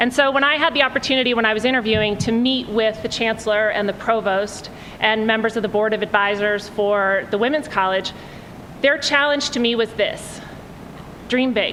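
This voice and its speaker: There is noticeable background noise and audible room echo as a woman talks fairly quickly at a fairly high pitch with ordinary pitch variation. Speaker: college dean, event speaker. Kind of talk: welcome speech. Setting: lecture hall with audience. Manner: loud, projecting. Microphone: audio problems at the start, told to stay close to the mic.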